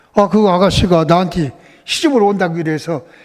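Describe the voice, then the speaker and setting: A man speaks over noticeable background noise. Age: 80s+. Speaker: church elder. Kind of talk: testimony.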